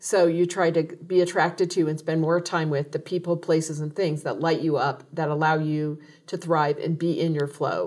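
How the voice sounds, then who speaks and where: On a very clean recording with a silent background, a woman with a fairly low pitch talks at a moderate pace with hardly any pauses. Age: 60s. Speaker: podcast host. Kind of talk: casual interview; scripted intro and outro. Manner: enthusiastic.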